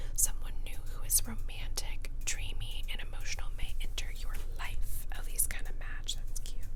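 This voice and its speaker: A woman is whispering at a moderate pace. Noticeable background noise runs behind her. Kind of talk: ASMR whisper ramble showing tarot cards. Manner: whispered.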